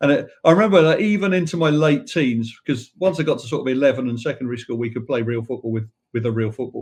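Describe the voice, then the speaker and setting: In an English accent, the speaker talks very fast with hardly any pauses, lively intonation and a somewhat breathy voice. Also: man, medium pitch for a man. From England, south London (Wimbledon). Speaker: football club president. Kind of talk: podcast interview.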